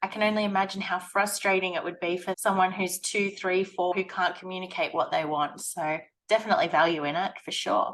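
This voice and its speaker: A woman with an ordinary speaking voice talks at a fairly quick pace and medium pitch, with fairly even intonation. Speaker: blog and web designer, video host. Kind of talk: casual interview chat.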